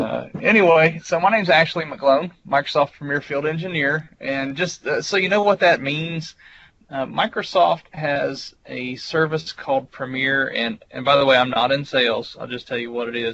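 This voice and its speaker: A man with a Southern US accent, a fairly high pitch, ordinary pitch variation and a moderate pace. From US South. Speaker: IT engineer and presenter. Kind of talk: technical presentation. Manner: casual, with fillers.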